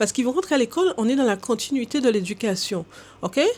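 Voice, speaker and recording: Her high voice swings very widely in pitch, and the recording of this woman is very clean with a silent background. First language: English (speaking French). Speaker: language coach. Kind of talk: educational talk to camera. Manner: hesitant with filler sounds.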